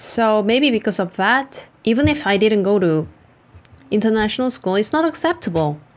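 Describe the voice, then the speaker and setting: The speaker has a Korean accent and lively intonation. The pace is moderate. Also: woman. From South Korea. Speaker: vlogger. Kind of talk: casual vlog commentary.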